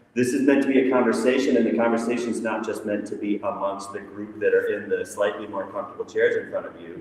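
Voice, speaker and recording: Noticeable background noise sits behind a man talking at a very fast pace with hardly any pauses. His loudness swings widely. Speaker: discussion moderator. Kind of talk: event moderation to live audience. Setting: echoey airport terminal with live audience. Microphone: no microphone, echoey room.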